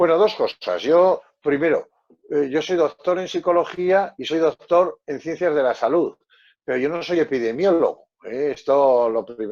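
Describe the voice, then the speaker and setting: A man with a high pitch speaks at a fairly slow pace, with ordinary pitch variation. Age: 60s. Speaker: psychologist. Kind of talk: panel discussion.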